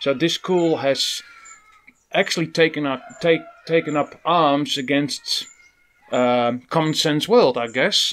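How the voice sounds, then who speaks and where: Speaking with a Dutch accent, a man uses a fairly high pitch. His pace is very slow. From Netherlands. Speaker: evangelist YouTuber reacting to a video. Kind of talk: reaction video commentary. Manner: halting, repeats words.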